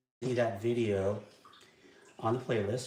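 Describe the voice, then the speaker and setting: Speaking at a moderate pace with a medium pitch and ordinary pitch variation, a man is heard in audible room echo. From California Central Coast. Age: 60s. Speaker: outdoor cooking video host. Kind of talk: live tutorial demonstration. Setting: live stream. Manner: halting with frequent fillers.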